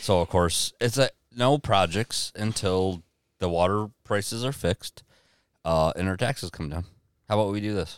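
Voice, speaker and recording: An unremarkable speaking voice from a man with an American accent, fairly low in pitch with ordinary pitch variation, comes at a moderate pace in a very clean, dry, close recording with a silent background and no echo. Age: 40s. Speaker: podcast host. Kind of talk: casual chat.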